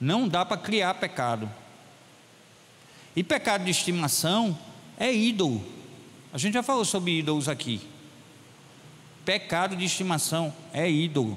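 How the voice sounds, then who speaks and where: This man talks at a fairly slow pace in a high voice, his pitch swinging very widely while his loudness stays very even, with long, frequent pauses. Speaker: pastor. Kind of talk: sermon. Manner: animated.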